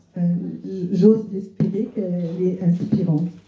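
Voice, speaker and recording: A woman talks at a fairly slow pace, with audible echo in the room. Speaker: cookbook author; guest. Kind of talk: literary talk before an audience. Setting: restaurant with live audience. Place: shop.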